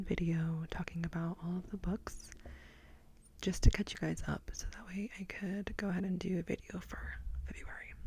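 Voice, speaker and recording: A soft-spoken woman talks at a fairly low pitch with a dark, mellow tone. Her voice is somewhat breathy, and her intonation is fairly even. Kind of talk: ASMR book review wrap-up talking to camera. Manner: soft-spoken, relaxing.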